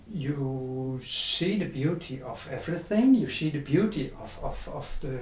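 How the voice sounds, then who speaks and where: Delivered at a fairly slow pace in a Dutch accent, the speech comes through over noticeable background noise. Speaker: spiritual teacher. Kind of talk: interview. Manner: halting.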